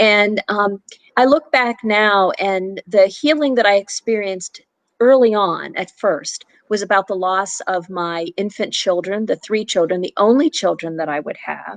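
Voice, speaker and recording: A woman with an unremarkable speaking voice, pitched in the middle range and varying in pitch in an ordinary way. She talks at a fairly slow pace, and the sound is dry and close with no echo. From Pittsburgh, Pennsylvania. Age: 60s. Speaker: author and abortion healing facilitator. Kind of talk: interview testimony. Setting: live video stream.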